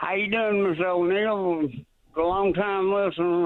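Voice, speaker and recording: In a Georgia accent, a man speaks at a fairly slow pace. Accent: Southern US, Georgia. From US South. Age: 60s. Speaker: caller, fisherman. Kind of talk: radio call-in. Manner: halting, stammering.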